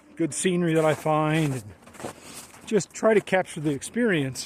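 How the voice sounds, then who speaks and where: A man with an American accent talks at a moderate pace with lively intonation. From US Midwest, northern Illinois (Chicago western suburbs). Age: 60s. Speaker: hiking vlogger. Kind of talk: casual vlog self-introduction. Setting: outdoors on trail. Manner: halting, many fillers.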